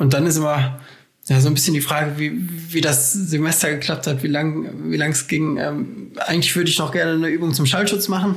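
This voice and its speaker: A man with a fairly high pitch speaks somewhat breathily at a fairly quick pace, his loudness very even and audible echo in the room. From Germany, Essen (Ruhr area). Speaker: civil engineer and doctoral researcher. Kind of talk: casual interview.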